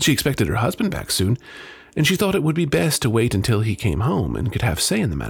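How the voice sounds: Plainly, a natural reading voice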